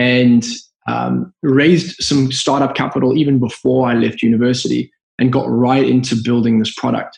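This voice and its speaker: With a Zimbabwean accent, a man speaks in fairly even intonation. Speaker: business founder. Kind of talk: podcast interview. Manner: halting.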